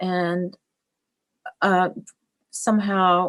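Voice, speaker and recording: A woman speaks at a medium pitch with a Russian accent. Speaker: fashion designer and business owner. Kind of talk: interview. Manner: halting, many fillers.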